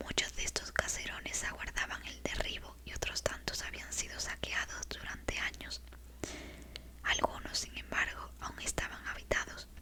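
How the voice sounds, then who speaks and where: Whispered speech from a woman, with noticeable noise behind it. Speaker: ASMR creator. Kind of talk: ASMR bedtime book reading. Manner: soft-spoken, slow, calm.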